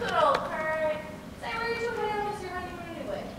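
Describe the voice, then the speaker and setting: A woman speaks in a put-on character voice at an extremely high pitch and a very fast pace. Strong echo surrounds her, with loud background noise. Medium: audio drama.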